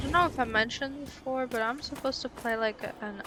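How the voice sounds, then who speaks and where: Someone speaks with a non-native accent against noticeable background noise. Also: woman. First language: not English. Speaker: gaming streamer. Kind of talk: casual gameplay commentary. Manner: reads game text aloud between casual remarks.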